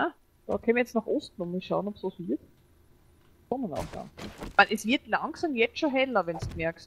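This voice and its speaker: In an Austrian accent, a woman speaks at a moderate pace and fairly high pitch, with very wide pitch swings and long, frequent pauses. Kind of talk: gaming commentary.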